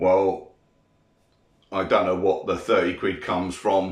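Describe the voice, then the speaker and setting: In a British accent, a man talks at a fairly slow pace with audible room echo. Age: 50s. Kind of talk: casual monologue responding to comments. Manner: irritated, ranting.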